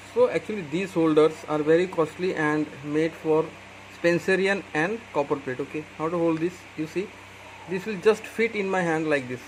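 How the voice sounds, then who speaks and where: A man with an Indian accent talks at a moderate pace over noticeable background noise. His high pitch shows ordinary variation. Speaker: calligraphy tutor. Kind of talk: tutorial.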